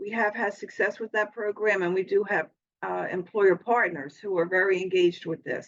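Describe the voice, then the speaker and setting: Speaking at a moderate pace and a medium pitch, this woman has a plain, everyday voice. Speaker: college program administrator. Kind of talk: progress report presentation.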